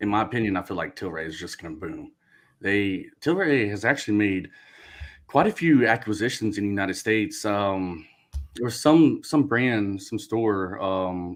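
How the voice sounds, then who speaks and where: A man with a fairly low pitch speaks at a moderate pace with lively intonation. His loudness swings widely on a very clean recording with a silent background. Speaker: stock show co-host. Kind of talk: casual chat. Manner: halting, many fillers. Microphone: wearing muffling headphones.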